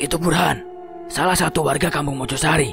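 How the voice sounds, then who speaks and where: Over loud music in the background, a man uses a put-on character voice. It is fairly high-pitched and moves at a fairly quick pace. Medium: read story. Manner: measured, ominous.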